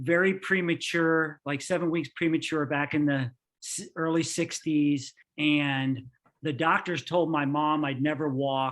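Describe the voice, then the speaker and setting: An ordinary speaking voice with an American accent, fairly slow pace and fairly even intonation over a quiet background. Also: man. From New York, then Florida from age 14. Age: 60s. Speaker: engineer. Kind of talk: podcast interview.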